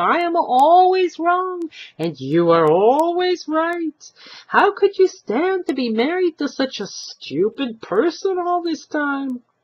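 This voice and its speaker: This is a put-on character voice, squeaky and high in pitch. It moves at a fairly slow pace. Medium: read story.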